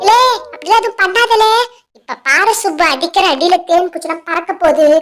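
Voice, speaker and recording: This is a cartoonish character voice. It is squeaky and extremely high in pitch. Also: moderate pace. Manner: rustic, uses "le" address often.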